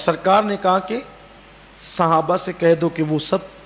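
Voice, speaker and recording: The pitch varies in an ordinary way. Noticeable background noise is present. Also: man. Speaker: Islamic preacher. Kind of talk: religious sermon (bayan).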